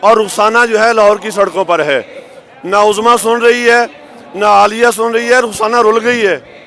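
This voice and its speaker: Noticeable background noise behind a moderate pace and fairly even intonation. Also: man, high pitch for a man. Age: 60s. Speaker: government employee protester. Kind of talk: interview.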